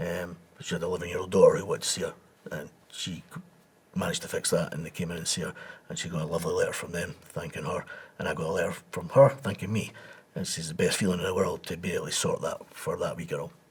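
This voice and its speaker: Speaking at a very fast pace, a man talks with an Edinburgh accent. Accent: Scottish (Edinburgh). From Scotland, Edinburgh. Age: 60s. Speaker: embalmer and reconstruction trainer. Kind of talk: interview. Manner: conversational, repetitive.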